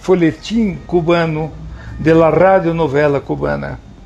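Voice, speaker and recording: A man speaks at a very slow pace in a high pitch. Noticeable background noise is present. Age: 50s. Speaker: TV drama director. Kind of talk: interview.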